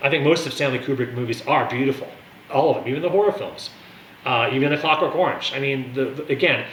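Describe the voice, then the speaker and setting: Over noticeable background noise and audible room echo, a man speaks at a very fast pace and fairly high pitch with ordinary pitch variation. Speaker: wine and music video blogger. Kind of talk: casual monologue review. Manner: animated.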